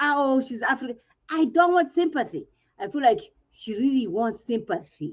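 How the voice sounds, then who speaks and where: A woman's high-pitched voice with a Kenyan accent, very wide pitch swings and a moderate pace. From Kenya, rural village. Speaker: reality TV panelist. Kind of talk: casual panel discussion. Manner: animated.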